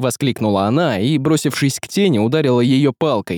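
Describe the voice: This is plain reading aloud. The text is simply read out.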